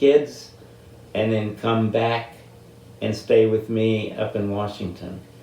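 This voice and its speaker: There is audible room echo around a man with an American accent. He talks at a fairly slow pace and a medium pitch. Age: 80s+. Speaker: military veteran. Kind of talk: interview.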